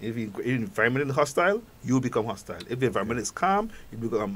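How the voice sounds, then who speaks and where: A man with a Grenadian accent talks at a very fast pace with ordinary pitch variation. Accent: own Grenadian accent, kept. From Grenada. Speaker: psychologist. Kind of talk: radio talk show interview. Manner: halting, many repetitions.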